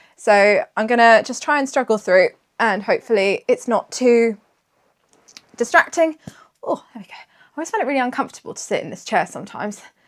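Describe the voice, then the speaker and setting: With a British accent, a woman speaks fairly quickly in a high pitch, using ordinary pitch variation. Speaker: knitting podcaster. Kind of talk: casual chat.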